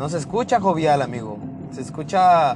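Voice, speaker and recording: With lively intonation and a fairly high pitch, a man talks rather slowly while noticeable noise runs in the background. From Mexico. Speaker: podcast host. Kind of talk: casual monologue.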